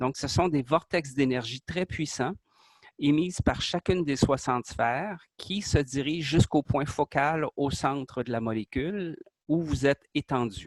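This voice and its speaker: A man with a Quebec accent speaks at a fairly slow pace, his pitch fairly high and its variation ordinary, in a dry, close sound with no echo. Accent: Québécois French. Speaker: artist presenting his creation. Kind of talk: interview explanation. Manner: hesitant, many fillers.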